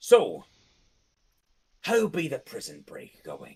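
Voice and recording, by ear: A raspy, put-on character voice is heard. It moves at a very slow pace.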